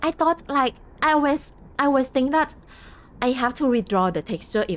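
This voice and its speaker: The speaker has a Thai accent and a moderate pace. Pitch swings very widely. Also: woman. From Thailand. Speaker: game streamer. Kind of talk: casual live stream chat. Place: home room.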